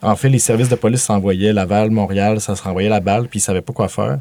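A man's dark, mellow voice moves at a fairly quick pace, pitched fairly low with ordinary pitch variation. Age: 30s. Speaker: filmmaker. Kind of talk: casual chat. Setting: studio.

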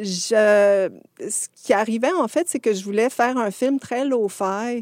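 Speaking very slowly, a woman with a Quebec accent uses a fairly high pitch and ordinary pitch variation. The recording is very clean, with a silent background. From rural Quebec, Montérégie. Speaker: animation filmmaker. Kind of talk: casual interview.

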